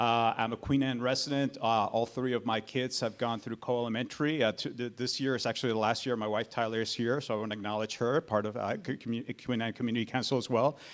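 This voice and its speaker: A man with a Spanish accent at a very fast pace, medium pitch, fairly even intonation and hardly any pauses. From Colombia. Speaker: political candidate. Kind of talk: candidate forum speech. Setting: public forum with audience. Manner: halting, many fillers.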